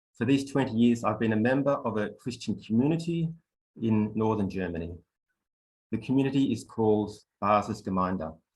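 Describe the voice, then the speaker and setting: Pausing long and often, a man with an Australian accent otherwise talks at a fairly quick pace. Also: medium pitch for a man, ordinary pitch variation. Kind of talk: online workshop presentation.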